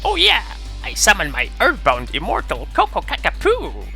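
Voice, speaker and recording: Put-on character voice, moderate in pace, clear music behind it. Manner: exaggerated, silly, dramatic.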